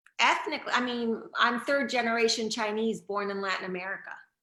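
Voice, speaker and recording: Amid audible room echo, a woman's fairly high voice has a bright, sharp tone. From Venezuela. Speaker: author. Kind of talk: interview.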